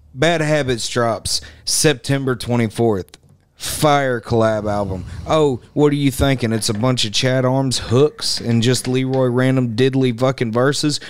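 A man speaks at a fairly slow pace with fairly even intonation. The sound is dry, with no echo. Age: 20s. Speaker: rapper. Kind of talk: casual chat. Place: studio. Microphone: studio mic.

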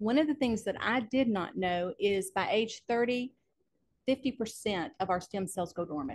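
An ordinary speaking voice from a woman, fairly high in pitch, with lively intonation and a fairly slow pace. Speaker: physical therapist. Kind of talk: testimony. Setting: in-person studio.

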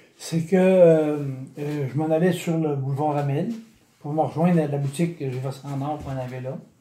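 Speaking at a moderate pace with long, frequent pauses, a man with a fairly high pitch has a dark, mellow, somewhat breathy tone and fairly even intonation, with audible room echo. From Quebec, Chaudière-Appalaches region; Quebec. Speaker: retired bicycle retailer, brain injury survivor; interviewee. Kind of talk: interview testimony. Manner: halting, many repetitions. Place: home room. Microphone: phone near.

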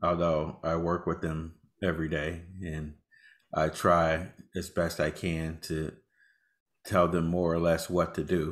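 A man's very deep, low voice at a fairly slow pace against a quiet background. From Texas. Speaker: AI ethics officer; panelist. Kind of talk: panel discussion. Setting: video call. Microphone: webcam.

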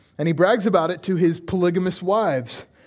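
The background is quiet. A man speaks at a moderate pace. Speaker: pastor. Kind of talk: sermon. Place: church.

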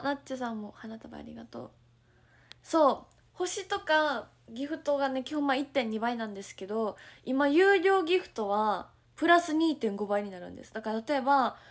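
The tone is animated, with big swings in loudness. The background is quiet. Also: woman, high pitch for a woman, moderate pace. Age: 20s. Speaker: idol livestreamer. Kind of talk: casual livestream chat reading viewer comments. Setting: at home, morning livestream. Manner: animated, frequent laughter. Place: home room. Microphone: phone near.

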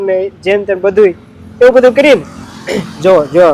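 This is a man speaking. His voice has a high pitch. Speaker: village vlogger. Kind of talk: casual vlog narration.

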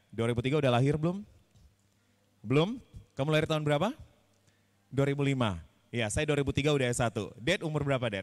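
Against a quiet background, a man with a fairly high pitch sounds animated, his intonation lively and his speech broken by long, frequent pauses. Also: moderate pace. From Indonesia. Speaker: public speaking trainer. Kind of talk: workshop. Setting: stage with audience. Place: hall. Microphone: handheld.

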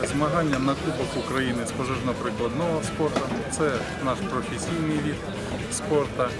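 Loud background music under a man's fairly slow delivery, ordinary pitch variation, and a dry sound with no echo. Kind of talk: interview answer. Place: stadium.

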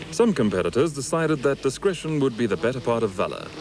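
Over noticeable background noise, a man with a medium pitch speaks at a very fast pace with very wide pitch swings. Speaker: race recap narrator. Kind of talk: 1980s motorsport TV recap narration, scripted voice-over. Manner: formal, polished broadcaster delivery; brisk, steady, upbeat, dryly witty at times.

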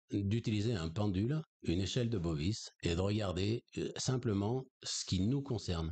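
At a very slow pace, a man with a fairly low pitch and a dark, mellow tone sounds somewhat breathy as his voice makes very wide pitch swings. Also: quiet background. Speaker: energy healer and spiritual teacher; spiritual teacher. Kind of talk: conversational interview on esoteric topics. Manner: hesitant, many fillers. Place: home room. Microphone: studio mic.

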